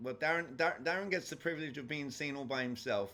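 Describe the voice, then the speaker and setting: This man speaks with a strong English accent. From England. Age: 40s. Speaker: sales trainer. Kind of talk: lecture. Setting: video call.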